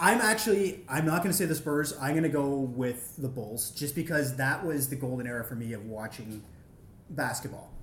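A man speaks at a moderate pace with lively intonation and a fairly high pitch. His voice is somewhat breathy, and the room echo is audible. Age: 30s. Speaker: sports podcast co-guest. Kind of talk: casual chat.

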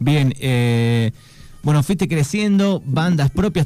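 A man is speaking. His pace is fairly slow. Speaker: radio host. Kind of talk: radio interview. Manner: halting.

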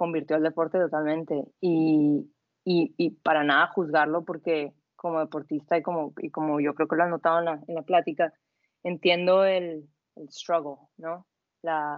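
Delivery is monotone and flat in intonation at a fairly slow pace. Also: woman, fairly low pitch for a woman. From northwest Mexico (Sonora). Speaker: athlete and yoga instructor. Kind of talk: casual interview.

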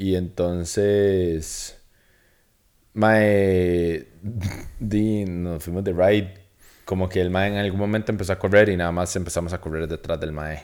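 A man with a Costa Rican accent speaks in a very deep, low, monotone voice at a fairly slow pace. Long, frequent pauses break up his speech in a very clean recording with a silent background. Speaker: podcast co-host. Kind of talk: casual chat.

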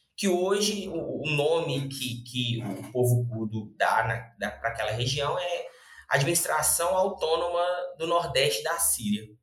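Talking at a fairly slow pace, a man with a fairly high pitch uses lively intonation, with audible room echo around him. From Brazil, Belo Horizonte (Minas Gerais). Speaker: lawyer and researcher. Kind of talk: interview explanation. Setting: podcast. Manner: halting, many fillers.

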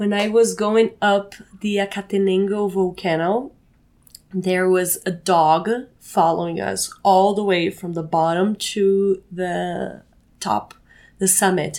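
A woman speaks at a medium pitch in a flat monotone. Her pace is very slow. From Brazil. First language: Portuguese. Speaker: co-living space manager. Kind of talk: interview. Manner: halting.

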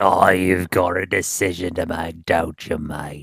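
Putting on a character voice in a Cornish accent, a man speaks with a very deep, low pitch. His delivery is monotone and flat, at a fairly slow pace. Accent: Cornish, West Country.

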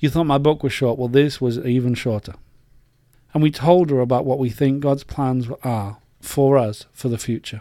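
Dark, mellow male voice in an English accent with fairly even intonation, very clean recording, silent background. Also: medium pitch for a man, moderate pace. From England. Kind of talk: personal faith monologue.

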